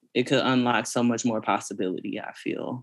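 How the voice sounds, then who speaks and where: A man talks in a normal speaking voice with a medium pitch at a moderate pace. The recording is very clean, with a silent background. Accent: American. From Texas, east side of Fort Worth. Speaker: poet and essayist. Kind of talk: interview conversation.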